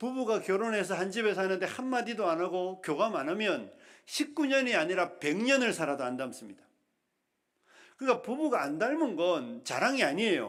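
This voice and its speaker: A moderate pace in a Gyeongsang accent, on a very clean recording with a silent background. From Yeongdeok, Korea.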